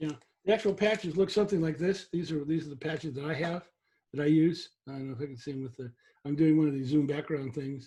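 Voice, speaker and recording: Very fast and somewhat breathy, the dark, mellow voice has ordinary pitch variation and big swings in loudness. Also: man, fairly high pitch for a man. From San Francisco Bay Area. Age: 60s. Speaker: webinar host. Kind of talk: educational webinar. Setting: video call.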